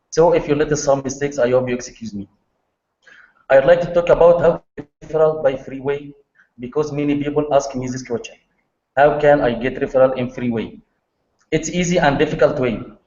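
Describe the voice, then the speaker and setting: A man with an Arabic accent and fairly high pitch moves at a fairly quick pace with ordinary pitch variation but long, frequent pauses. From Egypt. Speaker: online marketer. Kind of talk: presentation on video call. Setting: video call. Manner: halting non-native English. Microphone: poor internet connection.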